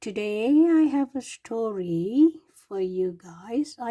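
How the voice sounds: Delivered in a natural reading voice, the speech has lively intonation over a quiet background.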